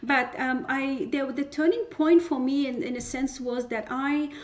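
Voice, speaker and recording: Here a woman is speaking. Her pace is moderate. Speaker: community leader. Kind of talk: podcast interview. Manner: halting with fillers.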